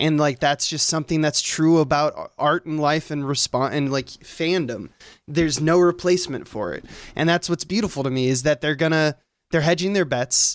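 Recorded very cleanly against a silent background, the sound is dry and close with no echo. A man with a normal speaking voice and fairly high pitch talks at a moderate pace. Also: ordinary pitch variation. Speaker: guest co-host. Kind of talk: casual chat.

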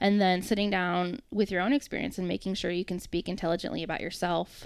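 With a normal speaking voice, a woman talks at a medium pitch and with fairly even intonation. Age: 30s. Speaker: talent acquisition recruiter. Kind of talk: casual chat.

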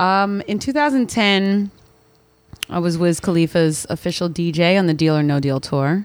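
A woman with a fairly low pitch talks in a plain, everyday voice at a moderate pace, with lively intonation and very even loudness. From Philadelphia, US. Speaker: DJ and radio host. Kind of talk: casual interview chat. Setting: studio.

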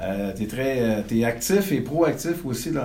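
A man speaks at a very slow pace. The room has audible echo and noticeable background noise. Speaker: real estate consultant and podcast host. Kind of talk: interview.

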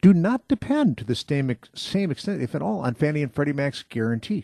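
A man talks at a fairly quick pace in a fairly high, somewhat breathy voice with very wide pitch swings. The sound is dry and close with no echo, against a quiet background. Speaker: mortgage broker and radio show host. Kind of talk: radio talk show on home finance. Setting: radio studio.

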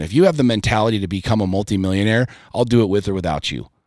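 A fairly low male voice, very cleanly recorded against total silence. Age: 40s. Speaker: entrepreneur and podcaster. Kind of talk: casual chat.

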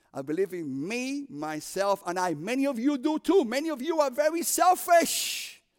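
With a Cuban accent, a man speaks in an animated tone at an extremely high pitch, his voice swinging very widely and hardly pausing. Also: moderate pace. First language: Spanish. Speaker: prison ministry preacher. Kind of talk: sermon. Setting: chapel service with audience.

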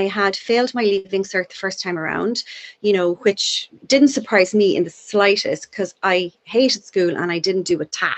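With a Cork accent, a woman talks with hardly any pauses. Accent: Cork Irish. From Ireland, Cork (Douglas). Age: 50s. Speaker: addiction and youth worker. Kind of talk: casual chat. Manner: fast.

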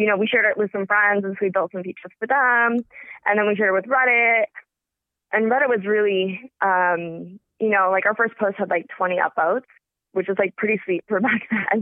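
This woman talks at a fairly quick pace, and her intonation stays fairly even. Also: medium pitch for a woman. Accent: Californian. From US West Coast, Los Angeles area. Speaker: crypto company founder. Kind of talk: interview.

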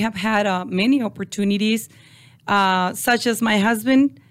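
A woman's fairly slow, fairly high-pitched voice with a Mexican accent and fairly even intonation, on a very clean recording with a silent background. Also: very even loudness. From Mexico (Ciudad Juarez). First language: Spanish. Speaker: construction business owner. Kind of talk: interview. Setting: studio. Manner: halting.

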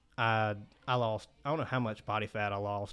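The speaker has a Mississippi accent. The pace is fairly quick. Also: man, quiet background. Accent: US Southern (Mississippi). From Mississippi Delta (Cleveland). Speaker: dental student. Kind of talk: casual interview.

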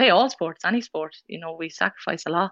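A woman with a fairly low pitch speaks in an Irish Midlands accent. The sound is dry and close with no echo, the background quiet. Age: 20s. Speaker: rugby player. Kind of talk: casual interview. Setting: remote call.

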